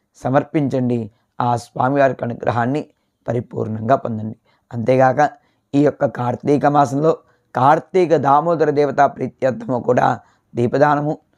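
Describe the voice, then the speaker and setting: A man speaks in a plain, everyday voice at a medium pitch with ordinary variation. The sound is dry and close with no echo, against a quiet background. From Vizianagaram, Andhra Pradesh, India. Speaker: astrologer priest. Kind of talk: almanac reading and religious advice.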